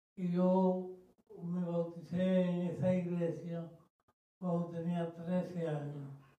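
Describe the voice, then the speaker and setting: A man speaks very slowly in a high, flat monotone with a dark, mellow tone, and the room echo is audible. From Dominican Republic, Santo Domingo. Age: 90s. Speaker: church member giving testimony. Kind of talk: testimony. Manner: halting.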